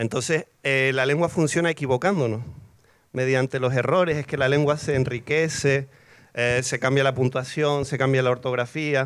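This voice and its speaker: Here a man has an ordinary speaking voice with fairly even intonation. The background is quiet. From Canary Islands, Tenerife; Canary Islands. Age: 40s. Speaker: poet. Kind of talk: panel discussion. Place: garden. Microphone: handheld.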